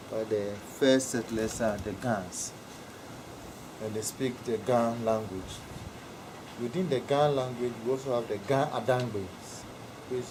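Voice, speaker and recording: Medium-pitched male speech with a Ghanaian accent, fairly slow and fairly even in intonation, with audible room echo and noticeable background noise. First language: Ewe. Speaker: interviewee explaining culture. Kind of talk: informal interview.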